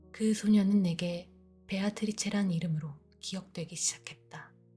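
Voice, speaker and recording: With music in the background, a woman speaks at a medium pitch and fairly slow pace in a calm, soothing tone with flat, monotone intonation. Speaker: audiobook narrator. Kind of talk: sleep audiobook reading.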